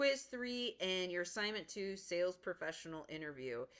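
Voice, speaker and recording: Her voice is medium in pitch, and this woman's intonation is lively. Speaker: college instructor. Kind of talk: lecture. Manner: fast.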